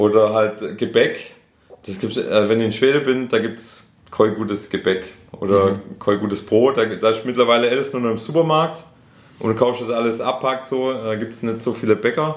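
A man's medium-pitched voice carries fairly even intonation and moves at a moderate pace. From Swabia, Schorndorf near Stuttgart. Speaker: rapper. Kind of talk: casual interview. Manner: halting, many fillers.

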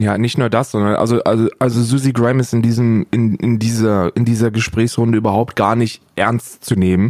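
On a very clean recording with a silent background, a man speaks at a moderate pace and medium pitch, his intonation monotone and flat and his loudness very even. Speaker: podcast co-host and streamer. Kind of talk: casual chat.

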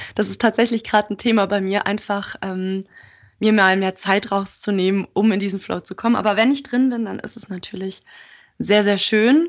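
A woman speaks in a normal speaking voice at medium pitch and a moderate pace. Her intonation stays fairly even while her loudness swings widely. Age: 20s. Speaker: art student and podcaster. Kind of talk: interview.

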